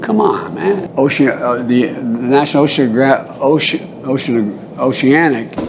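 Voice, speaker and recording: A man with an American accent mumbles at a moderate pace in a fairly high pitch. His intonation is lively, with noticeable background noise. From United States. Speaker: politician, US president. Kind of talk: political speech, public remarks. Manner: halting, mumbling.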